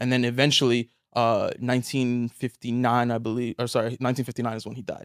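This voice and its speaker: Speaking very fast, a man keeps a flat, monotone intonation at a medium pitch. The recording is very clean, dry and close, with no echo and a silent background. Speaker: engineer and author. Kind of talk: casual interview.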